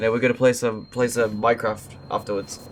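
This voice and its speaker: With music in the background, a man talks at a fairly quick pace in a medium pitch with fairly even intonation. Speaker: streamer. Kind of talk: casual chat. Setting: live stream.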